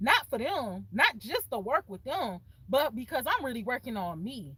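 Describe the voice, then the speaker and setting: With an American accent, a woman talks at a fairly quick pace in an animated tone, her pitch swinging very widely. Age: young. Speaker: content creator. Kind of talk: casual vlog talk. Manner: fast.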